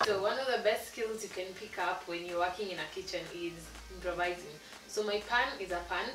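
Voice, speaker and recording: A woman talks fairly quickly. Clear music sounds behind her. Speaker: channel host. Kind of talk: cooking tutorial. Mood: cheerful, relaxed. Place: kitchen. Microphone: camera far.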